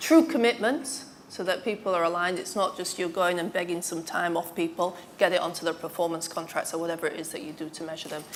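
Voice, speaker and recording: Over noticeable background noise, a woman with a northern English accent talks at a very fast pace. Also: ordinary pitch variation. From northern England. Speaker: former IT executive, panellist. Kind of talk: panel discussion.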